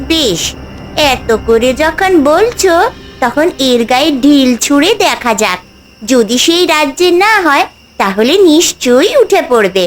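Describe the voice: Using a cartoonish character voice, a female-sounding speaker talks high in pitch for a woman at a fairly slow pace.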